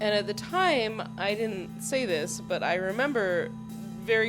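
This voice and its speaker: A woman's voice with music in the background. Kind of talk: personal storytime narration. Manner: casual, reflective.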